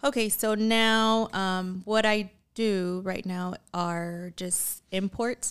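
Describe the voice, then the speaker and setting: In a very clean recording with a silent background, a woman speaks very slowly in a medium pitch, with fairly even intonation. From born in Mexico, raised in Utah. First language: Spanish. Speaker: long-time company employee. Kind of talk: casual interview.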